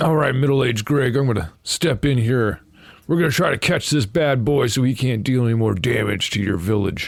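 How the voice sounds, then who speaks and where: A man's raspy, put-on character voice at a medium pitch and fairly quick pace, with ordinary pitch variation and very even loudness. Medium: actual play. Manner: folksy, hearty.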